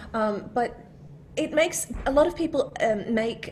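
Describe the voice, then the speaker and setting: A woman's somewhat breathy voice with an Australian accent, at a fairly slow pace with lively intonation. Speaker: voice of a phone assistant and GPS. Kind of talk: interview answer.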